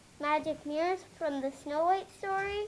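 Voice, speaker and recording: Over clear background noise, a put-on character voice runs at an extremely high pitch and a moderate pace. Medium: stage play. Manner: patient, gentle.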